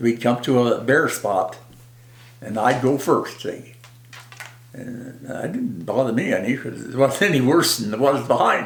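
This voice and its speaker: Noticeable background noise runs behind a man speaking at a moderate pace in a medium pitch. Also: ordinary pitch variation. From South Dakota. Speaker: war veteran. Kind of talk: interview answer. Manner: casual, rambling.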